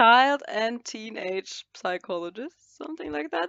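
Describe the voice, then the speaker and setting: A woman with a German accent, at a fairly slow pace. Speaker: fashion model. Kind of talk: casual chat. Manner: halting.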